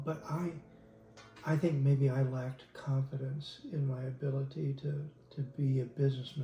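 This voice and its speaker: A man speaks at a fairly slow pace with a medium pitch while music plays in the background. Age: 60s. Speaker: retired lawyer turned innkeeper. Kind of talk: interview. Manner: halting.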